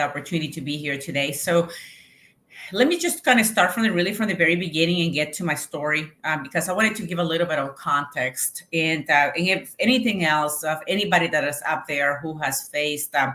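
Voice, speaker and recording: In a Colombian accent, a woman speaks at a fairly low pitch. Her pace is fairly quick, with ordinary pitch variation. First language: Spanish. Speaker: Navy veteran and entrepreneur. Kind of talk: interview testimony. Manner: halting, many fillers.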